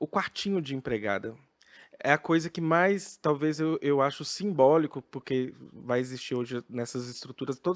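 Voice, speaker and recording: In a very clean recording with a silent background and a dry, close sound with no echo, a man with an unremarkable speaking voice and fairly high pitch speaks at a moderate pace with ordinary pitch variation. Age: 30s. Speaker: drag queen, professor. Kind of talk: podcast guest interview answer.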